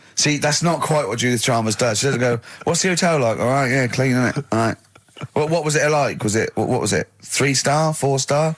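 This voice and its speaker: With noticeable background noise behind him, a man speaks fairly quickly at a very even loudness, with ordinary pitch variation. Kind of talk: radio banter.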